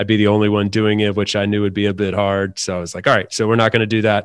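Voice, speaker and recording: A man with an ordinary speaking voice, fairly low-pitched for a man, in a very clean recording with a silent background. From US South, North Carolina. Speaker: remote worker and podcaster. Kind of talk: casual interview chat.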